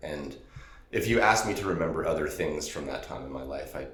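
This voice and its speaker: Noticeable noise runs behind a man who talks fairly quickly. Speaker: podcast host. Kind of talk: casual interview talk.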